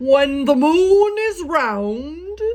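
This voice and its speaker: A put-on character voice pitched high, over light background noise. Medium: read story.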